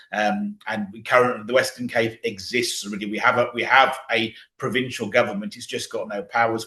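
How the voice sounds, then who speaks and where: With a British accent, a man speaks at a very fast pace with ordinary pitch variation. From Britain. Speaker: political activist. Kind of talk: interview.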